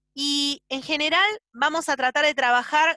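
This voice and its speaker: A woman with a bright, sharp tone speaks in a raised, projected voice at a fairly slow pace. Her intonation is lively, and the sound is dry and close with no echo. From Argentina. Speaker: doctor teaching ultrasound. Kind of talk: lecture.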